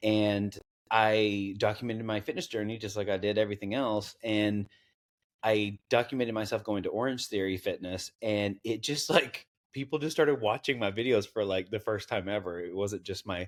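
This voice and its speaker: A man with a slight Southern US accent, fairly low pitch, moderate pace and fairly even intonation, on a very clean recording with a silent background. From US South, East Tennessee (Knoxville). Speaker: content creator. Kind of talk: interview. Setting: podcast interview. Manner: halting.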